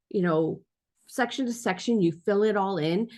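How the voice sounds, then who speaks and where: A woman's normal speaking voice, medium in pitch, with lively intonation at a moderate pace. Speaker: podcasting teacher. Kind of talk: tutorial.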